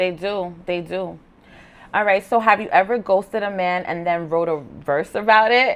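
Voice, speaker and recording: At a moderate pace, a woman speaks in an unremarkable speaking voice with a medium pitch. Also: ordinary pitch variation. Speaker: podcast host. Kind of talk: interview questions, casual talk.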